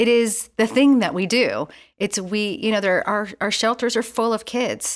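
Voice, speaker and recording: In an ordinary speaking voice, a woman with an American accent talks at a moderate pace, her pitch fairly high with ordinary pitch variation. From US Northeast. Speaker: Salvation Army officer and youth leader. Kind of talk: interview.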